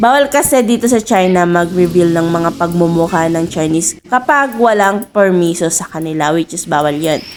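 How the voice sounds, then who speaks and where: A woman's medium-pitched voice at a moderate pace, with lively intonation and noticeable background noise. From Philippines. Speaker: vlogger. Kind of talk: vlog narration.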